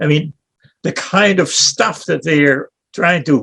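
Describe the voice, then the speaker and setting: At a very slow pace, a man speaks in a fairly high voice with vocal fry. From Netherlands. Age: 80s+. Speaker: town hall participant. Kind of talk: casual chat.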